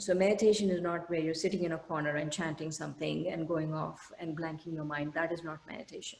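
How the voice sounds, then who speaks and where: In a room with audible echo, a woman with a fairly low voice speaks at a fairly quick pace. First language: an Indian language. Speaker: meditation teacher. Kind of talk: lecture. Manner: halting, many fillers.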